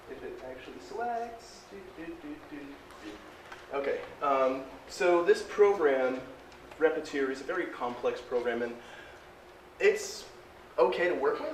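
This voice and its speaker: A man speaks with long, frequent pauses and big swings in loudness. Noticeable background noise and audible room echo fill the recording. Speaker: 3D printing presenter. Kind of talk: presentation to audience. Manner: fast.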